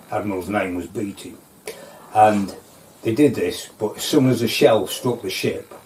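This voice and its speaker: With a North Lincolnshire accent, a man talks at medium pitch with ordinary pitch variation and long, frequent pauses over noticeable background noise. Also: moderate pace. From North Lincolnshire, England. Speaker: local history interviewee. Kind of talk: oral history storytelling. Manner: halting, with many fillers.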